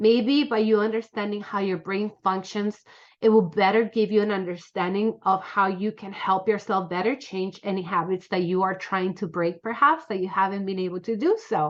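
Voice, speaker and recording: A woman talks at a medium pitch with ordinary pitch variation. She hardly pauses at all. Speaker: self-taught presenter on the brain. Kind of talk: informal lecture. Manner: fast; conversational, many fillers.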